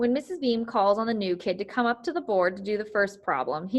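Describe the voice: This plain reading aloud shows ordinary shifts in pitch.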